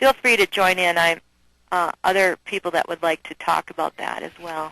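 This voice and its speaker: In a Minnesotan accent, a woman talks at a moderate pace with a fairly low pitch, ordinary pitch variation and big swings in loudness. Her tone is bright and sharp, the sound dry and close with no echo over a quiet background. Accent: Minnesota. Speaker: nursing educator. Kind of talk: webinar presentation. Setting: online webinar.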